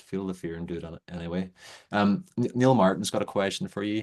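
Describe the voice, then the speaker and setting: Against a quiet background, a man with an Irish accent speaks at a very deep, low pitch with fairly even intonation. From Ireland. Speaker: webinar host. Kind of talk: live interview. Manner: fast.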